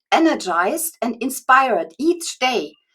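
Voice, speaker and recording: This is a woman's voice. Her pitch is high. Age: 60s. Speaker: online course creator and writing coach. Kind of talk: interview. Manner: halting, many fillers.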